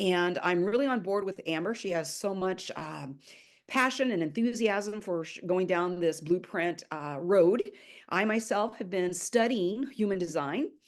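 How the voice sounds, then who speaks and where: A normal speaking voice from a woman, moderate in pace and medium in pitch, with ordinary pitch variation. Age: 60s. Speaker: spiritual YouTuber, human design student. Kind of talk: casual chat. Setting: video call.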